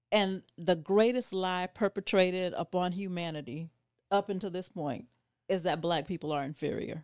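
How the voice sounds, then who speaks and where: A woman with a normal speaking voice talks at a moderate pace in an American accent, her pitch at a medium level and varying in an ordinary way. The sound is dry and close with no echo, on a very clean recording with a silent background. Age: 50s. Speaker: community leader and nonprofit founder. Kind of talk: casual discussion.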